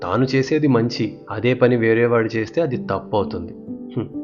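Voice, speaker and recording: A man's medium-pitched voice, calm in tone with lively intonation, over music in the background. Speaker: storyteller. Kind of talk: children's bedtime story. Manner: calm, clear.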